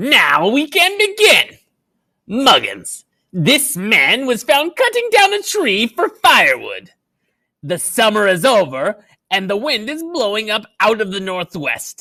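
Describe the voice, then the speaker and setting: The pitch is fairly high. It's a put-on character voice. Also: fairly slow pace. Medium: read story. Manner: cruel, imperious.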